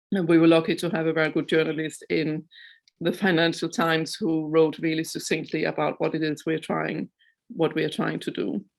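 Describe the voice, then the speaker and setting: At a fairly quick pace, a woman speaks with a very deep, low pitch, vocal fry and fairly even intonation. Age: 50s. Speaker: chair of a neurodiversity organisation. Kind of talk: online launch presentation. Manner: hesitant, many fillers.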